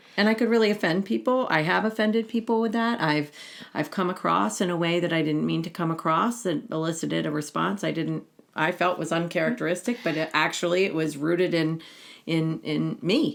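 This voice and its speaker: Vocal fry and lively intonation from a woman with a fairly low pitch at a fairly quick pace, on a very clean recording with a silent background. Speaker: podcast co-host. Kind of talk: conversational podcast chat.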